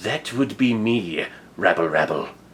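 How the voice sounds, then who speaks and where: A man puts on a character voice, pitched medium and delivered fairly slowly. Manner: sinister.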